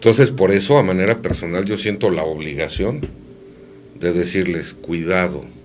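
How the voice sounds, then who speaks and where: Very deep, low-pitched man with lively intonation at a moderate pace, over music in the background, with audible room echo. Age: 50s. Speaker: radio host. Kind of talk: casual chat.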